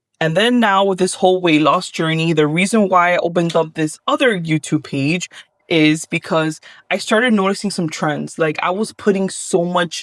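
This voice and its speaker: A woman with a Miami accent, fairly low-pitched and animated, ordinary pitch variation at a moderate pace, in a very clean, silent recording with a dry, close sound and no echo. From Miami, Florida. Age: 30s. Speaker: vlogger. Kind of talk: casual vlog Q&A.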